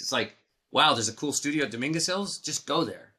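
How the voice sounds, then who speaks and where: In an American accent, the speaker's tone is bright and sharp, with lively intonation. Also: man. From Los Angeles, US. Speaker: synthesizer designer and entrepreneur. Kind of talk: interview.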